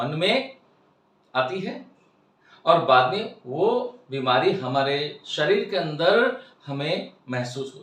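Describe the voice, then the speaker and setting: This man's high pitch moves through very wide pitch swings. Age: 60s. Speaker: spiritual life coach. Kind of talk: lecture.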